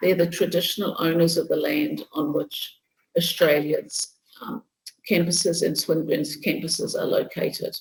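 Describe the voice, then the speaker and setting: A woman with a New Zealand accent talks at a moderate pace. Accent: New Zealand (Kiwi). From New Zealand, Bay of Plenty. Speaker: nursing professor. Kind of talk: lecture.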